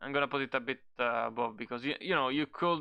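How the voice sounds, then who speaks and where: With a non-native accent, a man speaks in a bright, sharp tone, the sound dry and close with no echo. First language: not English. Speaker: card game content creator. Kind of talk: casual tier-list commentary. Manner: halting, many fillers.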